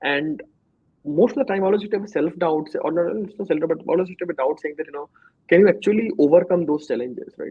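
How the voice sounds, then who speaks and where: Spoken at a very fast pace with an Indian accent, the voice shows big swings in loudness and ordinary pitch variation. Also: man, high pitch for a man. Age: 30s. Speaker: startup co-founder. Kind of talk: interview. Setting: studio. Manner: sometimes fast.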